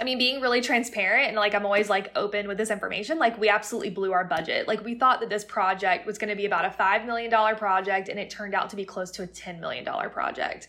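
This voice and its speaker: A woman with an American accent speaks very fast at a medium pitch. Noticeable background noise is present. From Florida (Plant City, near Tampa). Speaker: real estate company CEO. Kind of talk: interview.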